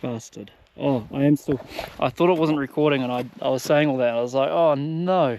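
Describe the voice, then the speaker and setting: The man talks at a moderate pace, and his pitch varies in an ordinary way. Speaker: travel vlogger. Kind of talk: casual vlog narration. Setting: outdoors. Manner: loud.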